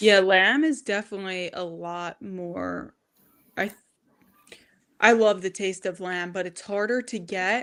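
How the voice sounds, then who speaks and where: A woman talks at a fairly slow pace with a Long Island accent, her pitch medium and her intonation fairly even. The recording is very clean, with a silent background. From Long Island, New York. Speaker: diet content creator. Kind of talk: casual chat.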